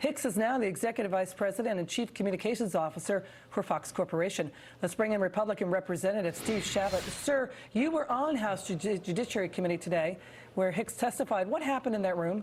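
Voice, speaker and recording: This woman speaks very fast at a medium pitch, with lively intonation and very even loudness. Her voice is somewhat breathy. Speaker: TV news anchor. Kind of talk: TV news interview.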